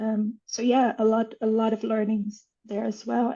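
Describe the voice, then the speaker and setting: This woman speaks at a fairly high pitch, her voice somewhat breathy. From Brazil. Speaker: author. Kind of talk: interview conversation.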